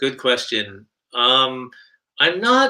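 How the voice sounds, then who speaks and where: A man with a fairly high pitch and a bright, sharp tone speaks at a very slow pace. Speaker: guitarist hosting livestream. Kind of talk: casual livestream chat.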